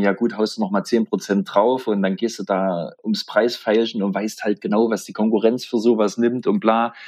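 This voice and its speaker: This man talks at a moderate pace in a fairly low pitch. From southeast Thuringia, Germany. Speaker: metal musician and festival organizer. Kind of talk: casual chat.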